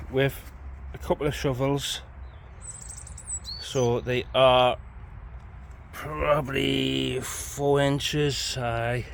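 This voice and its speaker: A man speaks very slowly with long, frequent pauses. Audible room echo and noticeable background noise are present. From northern England, Newcastle area. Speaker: allotment vlogger. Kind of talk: casual chat.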